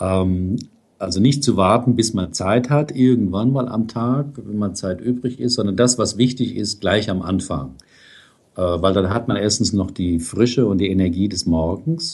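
Fairly slow and lively in intonation, a man speaks at a fairly low pitch. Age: 60s. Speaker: psychotherapist and blogger. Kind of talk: interview. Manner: hesitant with fillers.

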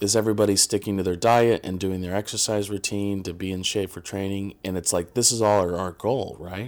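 In an American accent, a man speaks at a fairly low pitch with ordinary pitch variation and a moderate pace. The recording is very clean, with a silent background. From Indiana, US Midwest. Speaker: filmmaker. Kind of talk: podcast interview. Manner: halting, many fillers.

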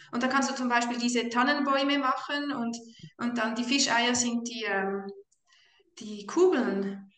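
Speaking at a fairly slow pace with long, frequent pauses, a woman has a high pitch and ordinary pitch variation. There is audible room echo. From Switzerland. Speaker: mother on carnivore diet. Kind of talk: casual chat.

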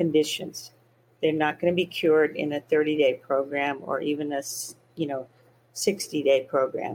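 In a plain, everyday voice, a woman with an American accent speaks at a moderate pace and a fairly low pitch. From US South. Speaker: physician and eating disorder expert. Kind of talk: interview.

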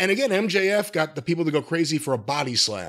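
In a very clean recording with a silent background, a man with a high pitch talks at a very fast pace. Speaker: podcast co-host. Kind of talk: casual banter. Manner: sarcastic, joking.

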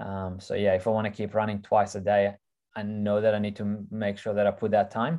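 In a monotone, flat intonation, a man talks at a fairly low pitch. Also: fairly quick pace. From Ukraine, raised in Israel then Australia. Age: 30s. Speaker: ultra trail runner. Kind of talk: casual interview.

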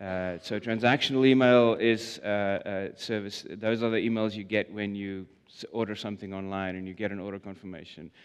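A man's fairly low voice in a South African accent, fairly quick in pace, with big swings in loudness. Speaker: product manager. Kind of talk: conference talk. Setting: stage with audience. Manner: hesitant, filler-heavy.

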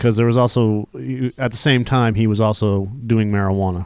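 A normal speaking voice at a fairly quick pace in a very clean recording with a silent background. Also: man. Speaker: podcast co-host. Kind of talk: casual chat.

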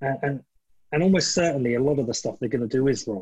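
A somewhat breathy voice moves along at a fairly quick pace. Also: man. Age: 40s. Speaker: podcast host. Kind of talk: casual chat.

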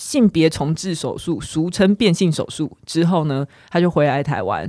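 With an ordinary speaking voice, a woman of fairly low pitch talks at a moderate pace in a very clean recording with a silent background. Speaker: podcast co-host. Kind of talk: casual chat.

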